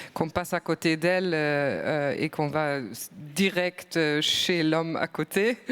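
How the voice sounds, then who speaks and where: A woman with a German accent speaks at a very slow pace in a very deep, low pitch, her intonation fairly even. Noticeable background noise runs underneath. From Germany. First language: German (speaking French). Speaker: EU culture official. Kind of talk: panel discussion. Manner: hesitant, frequent fillers.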